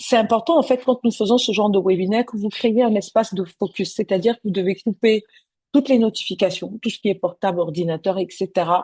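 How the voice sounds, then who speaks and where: A woman speaks with a somewhat breathy voice and a dark, mellow tone. The sound is dry and close, with no echo. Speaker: business coach. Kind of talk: webinar presentation. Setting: online webinar. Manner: soft-spoken; hesitant, many fillers.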